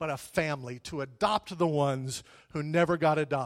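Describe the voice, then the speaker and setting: A man with a Texan accent. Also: very clean recording, silent background. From Texas (Whitney, then Pampa in the Panhandle). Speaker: pastor. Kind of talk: sermon. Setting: church.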